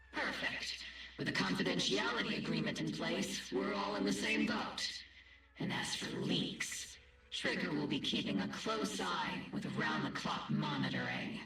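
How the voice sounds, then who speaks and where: A man performs a put-on character voice at a moderate pace with clear background noise. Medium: virtual streamer. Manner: brisk, commanding.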